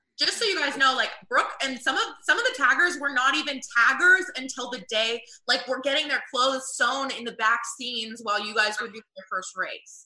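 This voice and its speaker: A woman with an American accent speaks at a moderate pace in a high, raised, projected voice. Her pitch varies in an ordinary way, while her loudness swings widely. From US South. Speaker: game show tagger. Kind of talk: casual chat.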